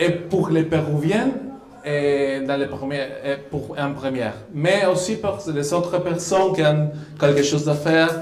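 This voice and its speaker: A fairly slow delivery in a Spanish accent, with ordinary pitch variation, audible room echo and noticeable background noise. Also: man, fairly high pitch for a man. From Peru. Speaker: diplomat. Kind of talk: live radio interview. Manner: halting.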